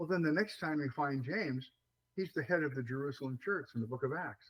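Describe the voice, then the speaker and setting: A man's fairly high, somewhat breathy voice. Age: 70s. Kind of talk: interview. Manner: hesitant, many fillers.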